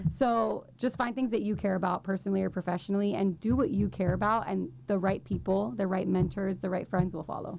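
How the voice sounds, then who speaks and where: A woman speaks at a medium pitch with vocal fry and lively intonation. Her pace is fairly quick, with hardly any pauses. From Miami, Florida (Cuban-American family). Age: 20s. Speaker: nonprofit fundraiser. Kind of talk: casual chat. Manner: talkative, fast stream of consciousness.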